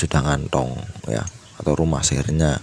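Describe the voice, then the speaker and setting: A man's voice, varying in pitch in an ordinary way, comes through over noticeable background noise. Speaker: motorcycle mechanic. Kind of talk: tutorial. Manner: hesitant, many fillers.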